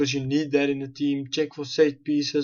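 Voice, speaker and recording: The speaker is a man. He talks with a South African accent. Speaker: gaming YouTuber. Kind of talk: gameplay commentary.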